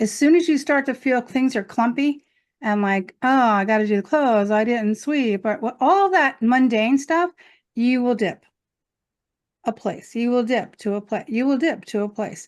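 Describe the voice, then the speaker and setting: A high-pitched woman's voice with lively intonation against a quiet background. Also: moderate pace. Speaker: spiritual coach hosting a group session. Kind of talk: group coaching talk. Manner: animated.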